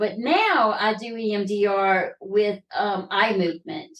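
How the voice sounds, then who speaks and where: A woman's medium-pitched voice with a Southern US accent and fairly even intonation. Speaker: trafficking survivor and entrepreneur. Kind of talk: interview testimony. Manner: halting.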